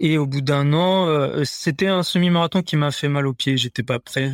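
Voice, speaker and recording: Recorded dry and close with no echo, a man with a fairly high pitch talks at a moderate pace. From Paris suburbs, France. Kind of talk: interview. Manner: halting.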